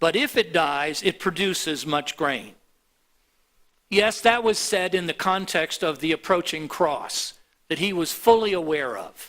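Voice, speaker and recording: A man with an American accent, high-pitched and bright, sharp in tone, speaking at a fairly slow pace with ordinary pitch variation. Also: very clean recording, silent background. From US (Miami, Florida). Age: 70s. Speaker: pastor. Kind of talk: sermon. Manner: halting.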